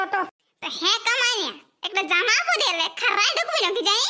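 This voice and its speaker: This is a squeaky, cartoonish character voice. It moves at a moderate pace with lively intonation. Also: woman, extremely high pitch for a woman. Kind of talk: comic cartoon dialogue. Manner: bossy, scolding.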